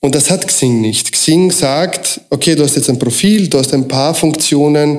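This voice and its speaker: A man with a fairly high pitch speaks at a fairly slow pace with audible room echo. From Austria, moved from Croatia at seven. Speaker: recruiting consultant. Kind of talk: interview.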